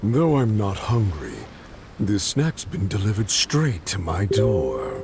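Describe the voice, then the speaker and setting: Loud music plays behind a man talking at a fairly slow pace. He uses a put-on character voice pitched fairly low. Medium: video game. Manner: haughty, mocking.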